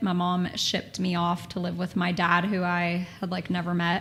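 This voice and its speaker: A woman with a Texan accent and a fairly low pitch speaks at a fairly quick pace. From Texas. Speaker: former model and talent agency owner. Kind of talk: casual chat.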